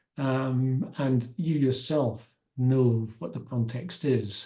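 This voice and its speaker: A man's somewhat breathy, dark and mellow voice at medium pitch, with ordinary pitch variation and a very slow pace. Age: 70s. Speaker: masters triathlete. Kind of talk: interview answer.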